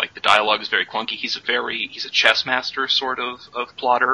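There is noticeable background noise. A man speaks very fast over it. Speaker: podcast co-host. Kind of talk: casual chat.

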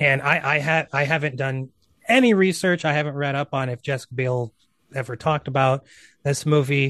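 Man with an unremarkable speaking voice, fairly high pitch and fairly even intonation at a fairly quick pace, dry and close with no echo against a quiet background. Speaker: film writer and podcast guest. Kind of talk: casual chat.

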